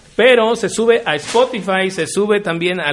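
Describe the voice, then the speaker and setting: Against noticeable background noise, a man with a high pitch speaks at a fairly slow pace with ordinary pitch variation. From Mexico, Río Verde, San Luis Potosí. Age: 30s. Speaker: podcast co-host. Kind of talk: casual chat.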